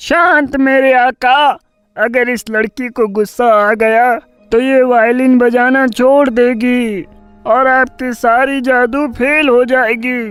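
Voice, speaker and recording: A cartoonish character voice with fairly high pitch drags along at a very slow pace while faint music plays in the background. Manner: deferential to its master.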